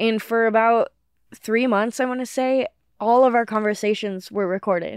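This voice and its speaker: A woman speaks at a moderate pace, her pitch fairly high and her intonation fairly even. She has an unremarkable speaking voice, and the background is quiet. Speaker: comedian. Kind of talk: casual chat.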